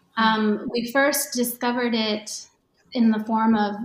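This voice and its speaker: A woman's somewhat breathy voice, fairly high in pitch, with fairly even intonation. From Japan, Tokyo area. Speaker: yoga teacher and author. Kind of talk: casual chat.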